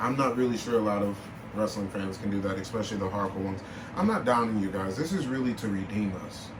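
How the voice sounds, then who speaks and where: A fairly low-pitched man's voice with audible room echo and noticeable background noise. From Milwaukee, Wisconsin, US Midwest. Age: 20s. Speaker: podcast host. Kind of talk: casual chat. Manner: animated.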